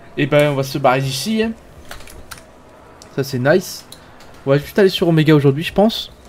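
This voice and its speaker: Over noticeable background noise, a man speaks with long, frequent pauses. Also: fairly high pitch for a man, ordinary pitch variation, moderate pace. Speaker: gaming video creator. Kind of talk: let's play commentary. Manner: casual, hesitant.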